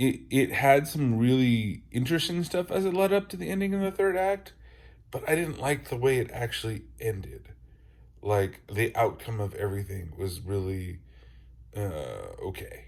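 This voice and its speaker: A man talks at a medium pitch and moderate pace, somewhat breathy, with very wide pitch swings. The recording is very clean with a silent background. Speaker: podcaster, movie reviewer. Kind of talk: casual talk to camera.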